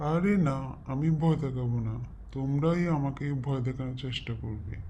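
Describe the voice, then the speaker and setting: A cartoonish character voice speaks at a moderate pace in a low-to-middle pitch. Clear background noise is present. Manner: playful, mischievous.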